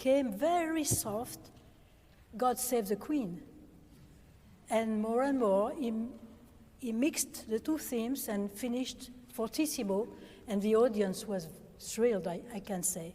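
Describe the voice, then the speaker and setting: Speaking with a French accent, the voice has a dark, mellow tone, somewhat breathy, with ordinary pitch variation. The pace is very slow, with long, frequent pauses and audible room echo. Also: woman. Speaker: organist. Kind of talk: lecture. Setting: stage with audience. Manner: halting.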